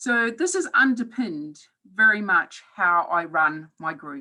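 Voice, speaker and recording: A woman's medium-pitched voice with a New Zealand accent, bright and sharp in tone. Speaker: professor. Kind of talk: webinar talk. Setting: online webinar.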